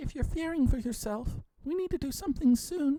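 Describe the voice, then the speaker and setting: A woman does a put-on character voice, high in pitch. She talks fairly quickly with lively intonation. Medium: read story. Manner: hesitant, stammering.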